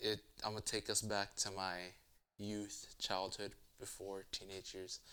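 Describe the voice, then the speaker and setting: A man speaks at a very deep, low pitch with a bright, sharp tone. His delivery is monotone and flat at a moderate pace. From US. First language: Spanish. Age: 20s. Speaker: interviewee. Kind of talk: casual interview. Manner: halting.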